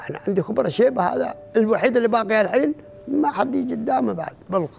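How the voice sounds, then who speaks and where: A man at a high pitch and fairly quick pace, very wide pitch swings, with light background noise. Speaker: former Bedouin. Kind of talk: interview answer. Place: home room. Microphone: lapel.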